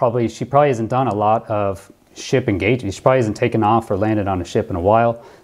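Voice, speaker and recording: A man speaking at a very fast pace, ordinary pitch variation, quiet background. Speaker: former pilot commentator. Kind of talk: commentary.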